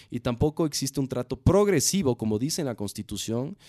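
Very fast and full of very wide pitch swings, a man's dark, mellow voice comes through with a dry, close sound, no echo and a quiet background. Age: 30s. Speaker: craft brewery founder. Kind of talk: interview. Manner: halting, frequent repetitions.

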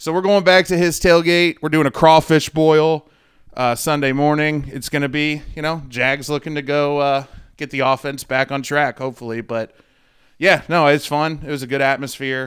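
Moderate pace and fairly even intonation with a US Midwestern accent, on a very clean recording with a silent background. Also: man, fairly high pitch for a man. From St. Louis, Missouri. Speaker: sports betting podcast co-host. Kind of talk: casual chat.

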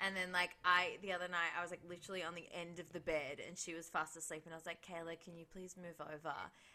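With an Australian accent, a woman speaks fairly quickly in a bright, sharp tone at a fairly low pitch. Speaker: podcast co-host. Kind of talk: casual chat.

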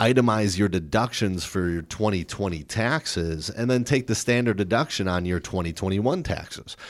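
Very clean recording, silent background. A normal speaking voice goes at a moderate pace with ordinary pitch variation. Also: man. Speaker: financial advisor. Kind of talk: radio show chat.

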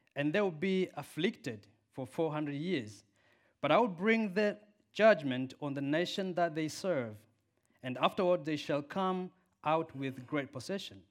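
With an African accent, a man speaks at a fairly slow pace and a fairly high pitch with lively intonation. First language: Swahili. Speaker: preacher. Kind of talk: sermon. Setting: church. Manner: animated, passionate.

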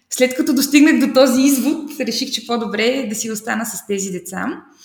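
A woman's high-pitched voice, lively intonation, moderate pace. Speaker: primary and English teacher. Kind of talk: interview. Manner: animated.

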